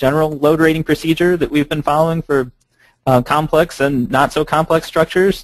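A fairly quick pace, with a dry sound with no echo and a quiet background. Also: man. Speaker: presenter. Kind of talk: lecture. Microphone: video call.

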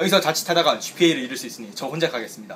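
A man talks very fast. Light background noise can be heard. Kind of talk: mock documentary commentary. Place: classroom. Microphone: phone near.

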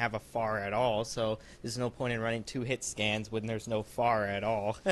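An unremarkable speaking voice proceeds at a moderate pace. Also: man. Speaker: gaming YouTuber. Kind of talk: gameplay commentary. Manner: casual, uses fillers like um and uh.

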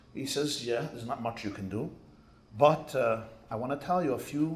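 At a fairly quick pace, a man talks in a somewhat breathy voice, his pitch varying in an ordinary way. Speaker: rabbi. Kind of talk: sermon. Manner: animated. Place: hall. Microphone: podium.

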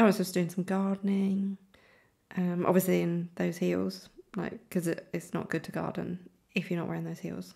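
At a moderate pace, a woman talks in a British accent. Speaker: fashion content creator. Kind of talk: casual voiceover commentary. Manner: hesitant, with many ums.

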